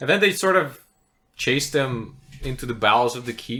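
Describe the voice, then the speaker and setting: A man talks at a moderate pace with a non-native accent. His tone is bright and sharp. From outside English-speaking world (immigrant). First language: not English. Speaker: podcast co-host, tabletop game designer. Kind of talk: casual chat.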